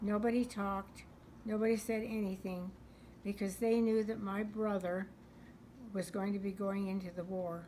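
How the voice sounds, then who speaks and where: A woman with an American accent speaks at a moderate pace in a medium pitch, somewhat breathy and flat in a monotone, leaving long, frequent pauses. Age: 80s+. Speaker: World War Two era eyewitness. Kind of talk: interview answer.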